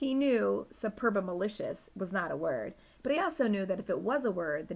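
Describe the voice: The recording consists of plain reading aloud.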